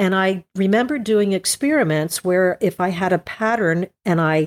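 In a dry, close recording with no echo and a silent background, a woman with an unremarkable speaking voice talks at a fairly slow pace, fairly low in pitch with ordinary pitch variation. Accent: American. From New Jersey, Morris County. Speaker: landscape and nature photographer. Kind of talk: interview conversation.

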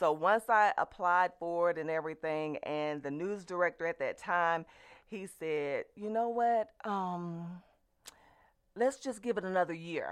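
Speaking at a fairly slow pace with a Southern US accent, a woman uses a fairly low pitch and ordinary pitch variation. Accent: Southern US (Georgia). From US South, LaGrange, Georgia. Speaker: television station owner. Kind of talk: radio interview.

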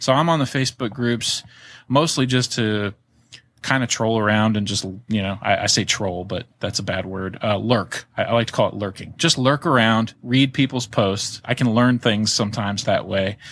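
Using an unremarkable speaking voice, a man with an American accent speaks at a medium pitch and moderate pace with ordinary pitch variation. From Florida and Virginia. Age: 30s. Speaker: reptile breeder, podcaster. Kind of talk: casual chat.

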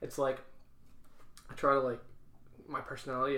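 A man talks at a fairly quick pace in a bright, sharp tone. The room echo is audible. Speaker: beer podcast co-host. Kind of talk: casual chat. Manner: stuttering at times.

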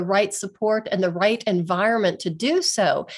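In an American accent, a woman speaks at a moderate pace with ordinary pitch variation over a quiet background. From western Pennsylvania, US. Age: 60s. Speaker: physical therapist. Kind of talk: interview chat. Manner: animated.

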